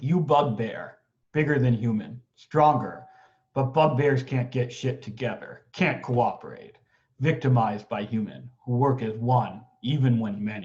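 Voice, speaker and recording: In a put-on character voice, a man speaks at a moderate pace with a guttural sound and a medium pitch. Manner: monster speak.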